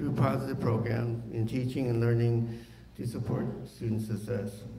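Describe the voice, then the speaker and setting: A man speaks at a moderate pace with a medium-pitched voice, and some room echo can be heard. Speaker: school district official. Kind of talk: public forum presentation.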